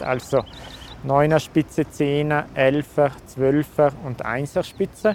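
This man's voice is fairly high in pitch. Noticeable background noise runs underneath. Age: 30s. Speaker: nature photographer. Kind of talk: interview. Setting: at his home.

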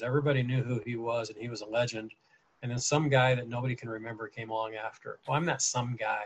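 The speaker has an American accent and a somewhat breathy voice. The intonation stays fairly even. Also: man. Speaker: podcast host and teacher. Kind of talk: casual interview chat.

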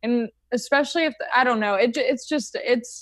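A woman with an ordinary speaking voice and ordinary pitch variation, against a quiet background. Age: 20s. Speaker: stand-up comedian. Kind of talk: casual chat.

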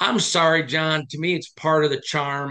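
A man with an American accent and an unremarkable speaking voice, fairly high in pitch, at a moderate pace. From Michigan. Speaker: sports podcast host. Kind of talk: casual sports discussion.

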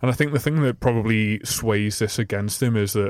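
A man with an ordinary speaking voice, fairly low in pitch and fairly quick in pace, in a very clean recording with a silent background and a dry, close sound with no echo. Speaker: football fan pundit. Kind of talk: casual sports chat.

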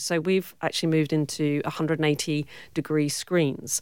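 A woman with a British accent talks at a moderate pace. Her pitch is very deep and low, and the recording is very clean with a silent background. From Cornwall, southwest England. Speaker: film producer and director. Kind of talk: interview. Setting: studio.

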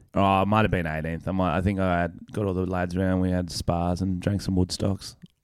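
A man with an Australian accent talks at a fairly quick pace in a very deep, low voice, hardly pausing at all. His intonation is monotone and flat, and the recording is very clean with a silent background. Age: 20s. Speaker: podcast co-host and comedian. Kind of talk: casual chat.

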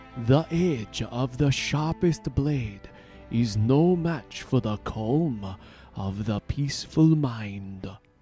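Over faint background music, a man puts on a character voice at a medium pitch, speaking very slowly with lively intonation. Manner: calm, serene.

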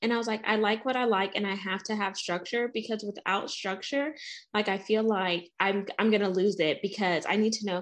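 This is an ordinary speaking voice with an American accent. The intonation is fairly even and the pace moderate. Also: woman. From US South. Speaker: podcast host. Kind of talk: casual interview chat.

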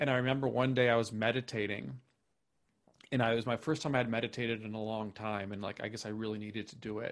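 Against a quiet background, a man speaks with an American accent. His pitch is medium and his intonation fairly even. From US Upper Midwest, Minnesota. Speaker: author and poet. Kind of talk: casual interview chat. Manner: halting, many repeated words.

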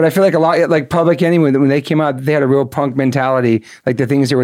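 Very clean recording, silent background, with a man speaking at a very fast pace. His pitch is medium and his intonation fairly even. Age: 50s. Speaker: punk rock musician. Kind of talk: casual chat.

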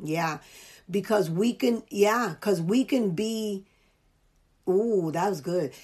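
A woman's medium-pitched voice in a New York accent, very slow with long, frequent pauses, ordinary pitch variation and a quiet background. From US Northeast (New York, the Bronx). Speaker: life coach and podcast host. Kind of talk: casual interview chat.

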